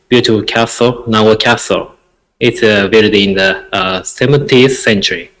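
A man talks at a fairly slow pace with a Japanese accent. The background is quiet. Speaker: interventional cardiologist; guest. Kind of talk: lecture. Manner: halting. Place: home room. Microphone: earbuds.

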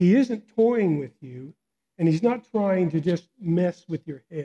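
Fairly slow, lively intonation from a man with a dark, mellow tone. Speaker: guest preacher. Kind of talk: sermon. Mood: warm, smiling. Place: church. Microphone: headset.

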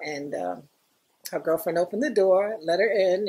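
With a New York accent, a woman speaks at a moderate pace in a dark, mellow tone with very wide pitch swings. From New York, the Bronx. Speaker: former graffiti artist; interviewee. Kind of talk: oral history interview. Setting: recording with small group present. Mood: warm, amused.

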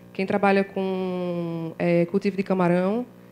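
A woman's voice over light background noise. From Brazilian Northeast. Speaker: journalism course student, audience questioner; questioner. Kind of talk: audience question. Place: hall. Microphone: handheld.

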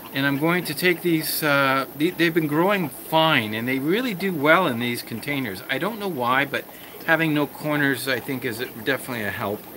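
Noticeable background noise behind a man talking at a moderate pace with ordinary pitch variation. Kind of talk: casual tutorial vlog. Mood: calm, explanatory. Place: home room. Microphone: phone near.

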